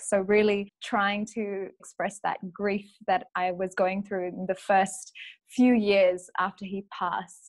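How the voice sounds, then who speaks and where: A woman speaks at a very slow pace in a fairly high pitch, with a quiet background. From Malaysia. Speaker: actor and playwright. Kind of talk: interview answer. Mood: warm, reflective, smiling. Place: home room. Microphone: webcam.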